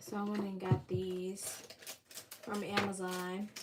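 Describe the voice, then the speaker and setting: Quiet and relaxed, a woman speaks at medium pitch and a very slow pace. Noticeable background noise runs underneath. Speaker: baker and livestream host. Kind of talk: casual livestream chat while coloring. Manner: relaxed, chatty.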